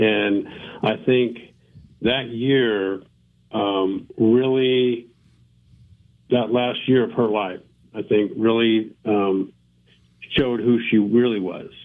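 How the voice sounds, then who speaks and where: A man at a very slow pace and medium pitch, with fairly even intonation and long, frequent pauses. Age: 60s. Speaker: former NFL player and author. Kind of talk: interview, personal story. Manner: halting, many fillers.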